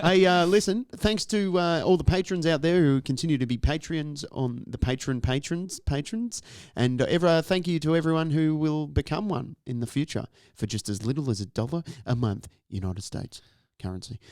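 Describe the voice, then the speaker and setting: On a very clean recording with a silent background, a man with an Australian accent talks at a fairly quick pace and fairly high pitch with lively intonation. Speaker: podcast co-host. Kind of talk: casual chat. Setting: podcast studio.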